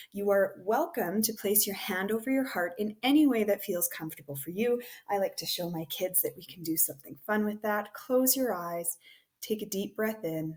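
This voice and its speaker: A woman talks in an ordinary speaking voice at a medium pitch. Her pace is moderate and her intonation lively. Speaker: teacher. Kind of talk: guided meditation; recorded presentation.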